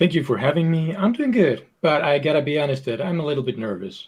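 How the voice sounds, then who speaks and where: With a Finnish accent, a man talks fairly quickly and with lively intonation. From Finland. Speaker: video game designer. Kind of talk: podcast interview.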